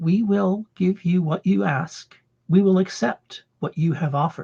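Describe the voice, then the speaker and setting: This is a put-on character voice at a middle pitch. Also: moderate pace. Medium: read story. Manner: solemn, measured, speaks as a collective we.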